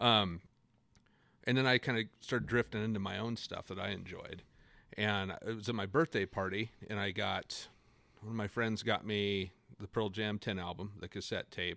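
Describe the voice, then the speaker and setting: A man with an ordinary speaking voice and an American accent talks at a moderate pace in a fairly low pitch with fairly even intonation, on a very clean recording with a silent background and a dry, close sound with no echo. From north central Washington, US. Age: 30s. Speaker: guest, music fan. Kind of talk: casual interview chat.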